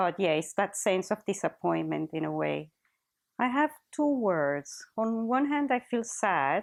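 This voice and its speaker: A woman at medium pitch with a Spanish accent, fairly slow pace and very wide pitch swings, over a quiet background. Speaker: teacher. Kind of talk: interview testimony. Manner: halting.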